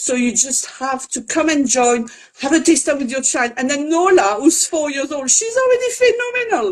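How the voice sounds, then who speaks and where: With a French accent, a woman talks at a moderate pace in a high pitch that swings very widely. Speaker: French teacher for children. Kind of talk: live interview. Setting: online live video.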